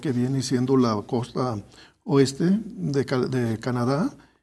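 In a dark, mellow tone, this man speaks at a very slow pace. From Guadalajara, Jalisco, Mexico. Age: 60s. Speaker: engineer and academic researcher; guest. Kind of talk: interview. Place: studio.

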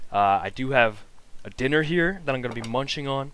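This man talks at a moderate pace, and the sound is dry with no echo. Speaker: manga reading streamer. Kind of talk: casual vlog chat. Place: home room. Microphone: headset.

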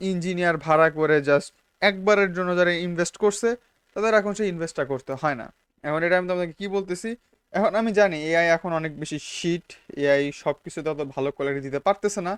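With a dry, close sound and no echo, a man speaks in a high pitch with ordinary pitch variation. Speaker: YouTuber. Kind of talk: casual vlog monologue. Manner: casual, mixes English words.

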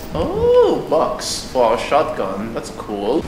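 Loud background noise around a man's voice. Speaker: gameplay commentator. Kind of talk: casual let's play commentary. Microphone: earbuds.

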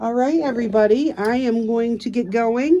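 A woman speaks at a fairly slow pace. There is light background noise. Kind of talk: casual vlog chat. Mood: cheerful, relaxed. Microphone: phone near.

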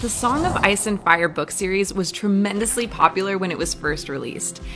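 A woman with an American accent at a fairly quick pace, ordinary pitch variation, and clear music in the background. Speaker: voice actor. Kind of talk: documentary narration. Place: studio. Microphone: studio mic.

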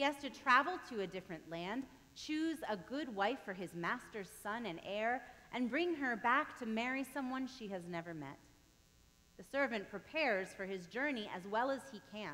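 With very wide pitch swings and a bright, sharp tone, a woman speaks at a moderate pace. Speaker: pastor. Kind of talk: sermon. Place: church.

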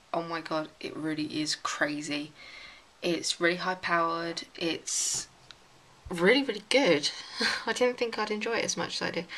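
With a bright, sharp tone and lively intonation, a woman speaks at a moderate pace and fairly low pitch, leaving long, frequent pauses. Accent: English. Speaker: vlogger. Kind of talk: casual vlog.

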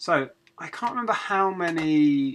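Slowly, a man speaks with lively intonation. His tone is fairly bright.

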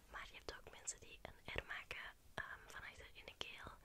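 Over loud background noise, a soft-spoken woman whispers at a moderate pace. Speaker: ASMR creator. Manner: soft close-mic ASMR whisper. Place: home room. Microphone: studio mic.

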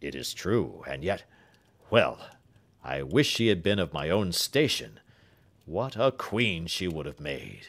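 On a very clean recording with a silent background, a man uses a put-on character voice with a very deep, low pitch, a fairly slow pace and long, frequent pauses. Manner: eager, impatient, emotional.

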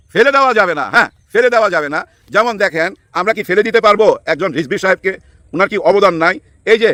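A man's animated voice, bright and sharp in tone, with lively intonation and a dry, close sound with no echo. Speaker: political commentator. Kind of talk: political commentary monologue. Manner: animated, colloquial.

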